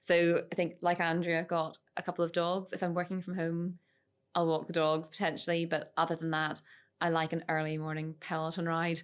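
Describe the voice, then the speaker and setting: Over a silent background in a very clean recording, a woman speaks at a fairly low pitch. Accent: Northern Irish. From Northern Ireland, Moira and Lisburn. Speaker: lawyer. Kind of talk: casual professional discussion. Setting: studio.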